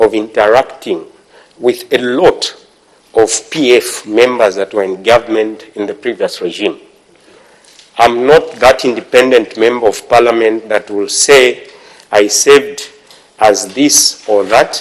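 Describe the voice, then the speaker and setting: A man's medium-pitched voice, fairly slow and fairly even in intonation, with long, frequent pauses. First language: not English. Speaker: member of parliament. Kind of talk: parliamentary debate speech. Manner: formal.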